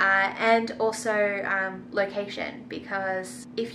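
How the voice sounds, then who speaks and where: A woman talks in an Australian accent at a medium pitch. Room echo is audible. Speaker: vegan food and travel vlogger. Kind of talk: casual Q&A vlog. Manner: casual, filler-heavy.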